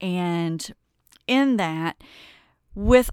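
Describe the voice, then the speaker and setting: In a very clean recording with a silent background, a woman with a Kentucky accent speaks at a medium pitch in an animated tone, with ordinary pitch variation and a dry, close sound free of echo. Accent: Kentucky Southern US. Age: 50s. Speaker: podcast host and wellness coach. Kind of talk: casual monologue.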